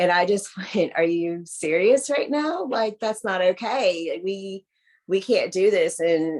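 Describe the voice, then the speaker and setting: A woman speaks with a Southern US accent. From US South. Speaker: adoptee. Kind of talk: casual chat. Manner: animated.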